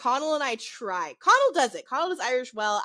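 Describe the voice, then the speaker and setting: A woman's fairly quick, fairly high-pitched voice with a bright, sharp tone, a northern US accent and very wide pitch swings. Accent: northern US accent, learned. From US South. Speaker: podcast co-host. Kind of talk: casual chat.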